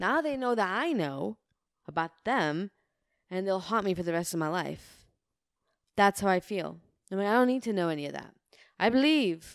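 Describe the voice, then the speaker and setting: Her pitch swings very widely as the woman speaks at a moderate pace with long, frequent pauses, on a very clean recording with a silent background. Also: medium pitch for a woman. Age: 30s. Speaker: podcast co-host. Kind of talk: casual chat.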